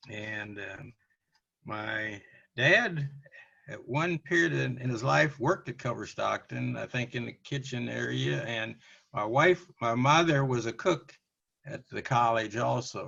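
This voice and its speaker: A man with an American accent, medium pitch and lively intonation, bright, sharp tone, vocal fry and big swings in loudness. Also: fairly slow pace. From US Midwest, Canton, Missouri. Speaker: interviewee, college alumnus. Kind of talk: oral history interview. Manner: halting, many fillers.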